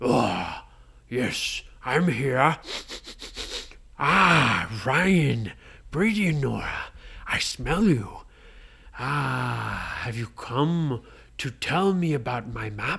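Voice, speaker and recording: At a very slow pace, a put-on character voice at a low-to-middle pitch leaves long, frequent pauses. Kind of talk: bedtime story. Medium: read story.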